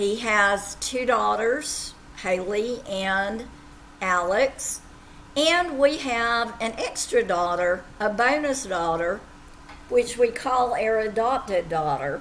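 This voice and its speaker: A woman with an Appalachian accent speaks at a very slow pace, her fairly high voice carrying lively intonation. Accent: southwest Virginia Appalachian. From far southwest Virginia (Appalachia). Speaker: teacher. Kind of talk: self-introduction to students.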